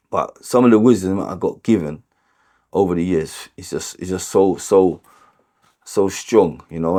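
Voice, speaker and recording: The voice has a dark, mellow tone and a North London accent. Pitch varies in an ordinary way on a very clean recording with a silent background. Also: man. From London (Tottenham, North London). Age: 40s. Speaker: homeless support worker and boxing coach in recovery. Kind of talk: interview testimony. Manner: hesitant, many fillers and repetitions.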